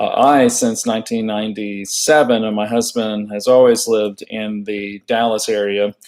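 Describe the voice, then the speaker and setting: With an American accent, a man speaks at a moderate pace and fairly low pitch, his intonation monotone and flat, with hardly any pauses. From Texas, Houston. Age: 60s. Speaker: retired social worker and activist. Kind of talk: personal monologue. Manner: hesitant, many fillers.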